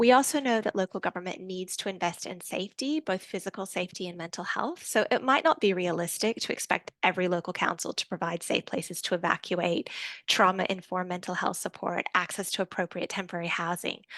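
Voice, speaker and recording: Against a quiet background, a woman with an Australian accent talks very fast with hardly any pauses, at a medium pitch and with ordinary pitch variation. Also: dry, close sound with no echo. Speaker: researcher presenting a report. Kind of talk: presentation. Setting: online event.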